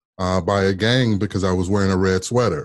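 A man with an American accent speaks at a moderate pace in an unremarkable speaking voice, his fairly low pitch held in fairly even intonation against a quiet background. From US Midwest and Las Vegas. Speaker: former politician. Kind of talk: interview storytelling.

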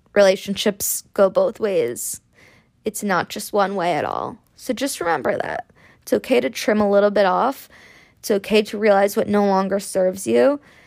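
A woman speaks at a moderate pace with lively intonation and a medium pitch. The recording is very clean, with a silent background. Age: 20s. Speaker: podcast host. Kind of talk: solo casual monologue. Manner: chatty.

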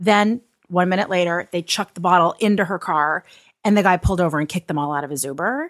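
Dry and close with no echo, a woman talks at a very fast pace. Her pitch is fairly low. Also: ordinary pitch variation. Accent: General American. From Los Angeles. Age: 40s. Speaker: entertainer, mother. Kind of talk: casual chat.

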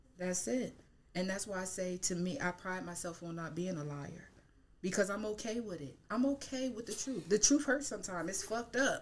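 Here is an ordinary speaking voice from a woman with an American accent, medium in pitch. Her intonation is lively and her pace fairly quick. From Harrisburg, Pennsylvania. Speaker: podcast guest, psychology student and mother. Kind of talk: casual interview chat.

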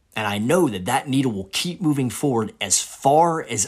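Lively in intonation but fairly slow, a man speaks at medium pitch in a plain, everyday voice. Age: 30s. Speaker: podcast host and Marine infantry veteran. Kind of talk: solo monologue podcast.

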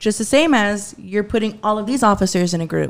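A woman talks with a Texan accent at a medium pitch. Her pace is moderate, and her pitch varies in an ordinary way. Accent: Texan twang. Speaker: podcast guest. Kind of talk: casual chat.

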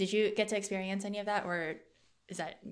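On a very clean recording with a silent background, a woman of medium pitch talks at a very fast pace. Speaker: podcast host. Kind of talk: casual interview chat. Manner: fast talker.

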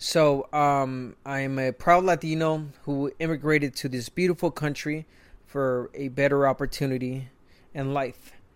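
A man with a Spanish accent, fairly high-pitched, at a fairly slow pace and with fairly even intonation, on a very clean recording with a silent background. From Mexico. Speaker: retired boxer and boxing commentator. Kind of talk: casual podcast monologue.

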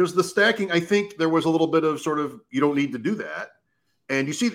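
In a very clean recording with a silent background, a man speaks fairly quickly at a fairly high pitch, with vocal fry and very wide pitch swings. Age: 50s. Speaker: fantasy football podcast host. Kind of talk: casual chat.

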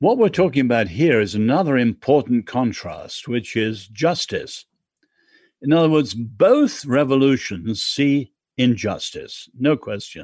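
A man speaks with an English accent at a fairly slow pace. The background is quiet. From England. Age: 70s. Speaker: author and social critic. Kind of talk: interview.

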